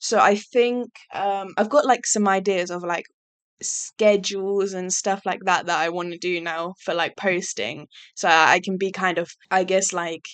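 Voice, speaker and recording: With an English accent, a woman speaks at a fairly slow pace with medium pitch and fairly even intonation. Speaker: YouTuber. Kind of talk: casual monologue. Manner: monotone; hesitant, many fillers.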